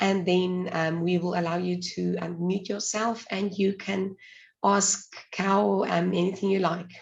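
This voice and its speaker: The woman's voice is somewhat breathy and monotone, with flat intonation. She speaks at a fairly slow pace. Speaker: webinar host. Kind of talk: webinar moderation. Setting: video call.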